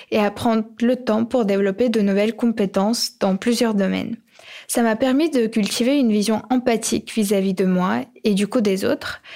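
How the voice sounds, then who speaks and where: Using an unremarkable speaking voice, a woman with a fairly high pitch speaks at a moderate pace with very even loudness and fairly even intonation, in a very clean recording with a silent background. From Ukraine. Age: young. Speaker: podcast co-host. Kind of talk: scripted podcast narration.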